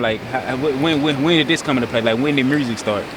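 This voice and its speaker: With a Memphis accent, a man talks very fast at a medium pitch with ordinary pitch variation, while noticeable background noise sits behind him. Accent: Memphis Southern US. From US South, Memphis, Tennessee. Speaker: interviewer, video channel host. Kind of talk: casual interview chat. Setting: outdoors on a beach.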